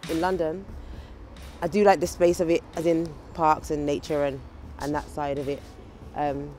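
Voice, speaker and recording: A woman with a Birmingham accent speaks in a very deep, low pitch with fairly even intonation. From Birmingham, England. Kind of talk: casual talk to camera.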